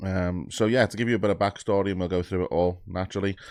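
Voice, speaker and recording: A man with an English accent, very fast and fairly low-pitched, over a quiet background. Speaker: YouTube music reactor. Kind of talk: casual vlog monologue. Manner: hesitant, many fillers.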